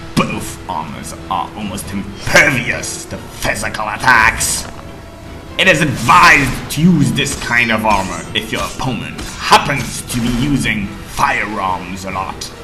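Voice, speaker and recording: A put-on character voice with a low pitch at a fairly slow pace, with clear music in the background. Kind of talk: game tutorial narration. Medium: tutorial demo. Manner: gruff, commanding.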